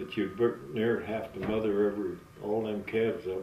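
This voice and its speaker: Moderate pace from a man, light background noise, and room echo that can be heard. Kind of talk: interview answer. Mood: relaxed, smiling reminiscence. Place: home room.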